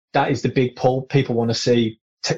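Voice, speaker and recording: A man with a British accent talks at a fairly quick pace in a medium pitch, somewhat breathy. His intonation is monotone and flat, and the sound is dry and close with no echo. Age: 30s. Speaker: air force serviceman and golf social media creator. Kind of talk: casual interview chat.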